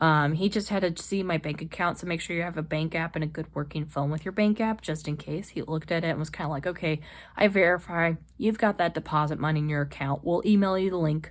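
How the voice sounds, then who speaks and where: A woman with a fairly low pitch and ordinary pitch variation talks at a very fast pace in a very clean recording with a silent background. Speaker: lifestyle vlogger. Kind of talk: casual vlog talk. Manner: animated.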